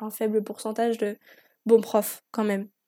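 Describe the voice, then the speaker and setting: A woman's fairly high voice, dark and mellow in tone, at a fairly slow pace. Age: 20s. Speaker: podcast host. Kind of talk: personal monologue. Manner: talkative.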